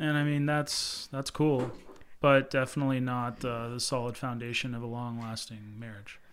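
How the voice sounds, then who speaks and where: Very clean recording with a silent background. A man talks at a moderate pace and medium pitch with fairly even intonation. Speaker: host's husband. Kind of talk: casual chat.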